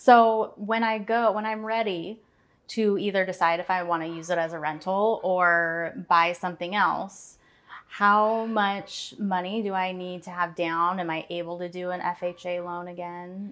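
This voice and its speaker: A woman with an ordinary speaking voice and an American accent, medium in pitch, at a fairly slow pace with fairly even intonation, over a quiet background. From Portland area, Oregon. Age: 30s. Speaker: marketing staff, first-time homebuyer. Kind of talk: casual interview chat.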